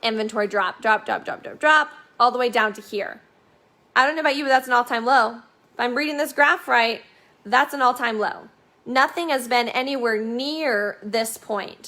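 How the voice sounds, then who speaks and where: With an animated, bright and sharp tone, a woman talks at a moderate pace in a high pitch with ordinary pitch variation. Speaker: real estate broker. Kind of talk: market update video.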